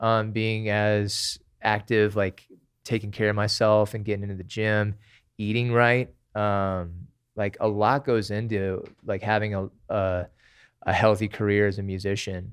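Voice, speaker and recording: In a very clean recording with a silent background, a man with an American accent speaks slowly-ish at a fairly slow pace, his fairly low pitch held in a monotone, flat intonation. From Tempe, Arizona, US. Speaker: singer and musician. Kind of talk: casual chat.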